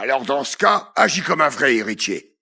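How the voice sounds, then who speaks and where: A man puts on a raspy character voice. He speaks at a moderate pace in a medium pitch. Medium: voice reel. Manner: authoritative.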